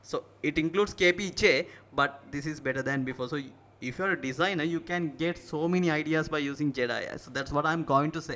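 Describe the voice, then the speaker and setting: Speaking very fast in a Sri Lankan accent, a man uses a fairly high pitch and a bright, sharp tone. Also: fairly even intonation. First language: Sinhala. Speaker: tech tutorial youtuber. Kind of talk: tutorial. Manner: halting.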